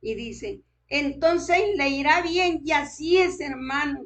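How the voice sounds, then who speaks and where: Words come out very slowly, with pitch varying in an ordinary way. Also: woman. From Colombia, Boyacá. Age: 80s+. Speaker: preacher. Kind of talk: sermon.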